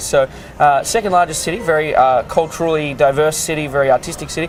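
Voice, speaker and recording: A man at a very fast pace with ordinary pitch variation, over noticeable background noise. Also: fairly high pitch for a man. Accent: Australian. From Australia. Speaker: cruise ship art auctioneer. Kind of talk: interview answer. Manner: casual, conversational, frequent hesitations.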